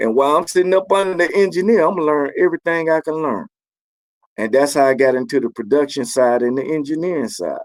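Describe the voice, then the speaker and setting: Very fast speech from a man with fairly high pitch and lively intonation. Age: 60s. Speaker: keyboard player and music producer. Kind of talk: interview. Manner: casual.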